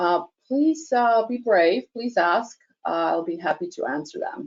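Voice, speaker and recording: A woman with an American accent and a fairly high pitch talks at a fairly slow pace with very wide pitch swings. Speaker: product presenter. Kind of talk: webinar Q&A. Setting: online webinar.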